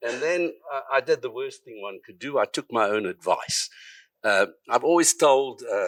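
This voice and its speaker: In a very clean recording with a silent background, a man with a South African accent talks at a moderate pace. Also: dry, close sound with no echo. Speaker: psychiatrist and researcher. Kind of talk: conference talk.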